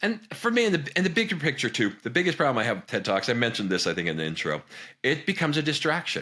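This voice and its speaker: A man's bright, sharp voice with vocal fry and very wide pitch swings, in a very clean recording with a silent background. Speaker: business consultant and video host. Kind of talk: reaction video commentary. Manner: fast; animated, halting with repetitions.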